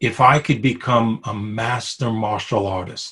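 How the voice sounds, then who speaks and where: In a New York accent, a man speaks at a medium pitch and a very slow pace against a quiet background. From Brooklyn, New York. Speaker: interviewee sharing spiritual story. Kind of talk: personal testimony. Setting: video call. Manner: hesitant, many fillers.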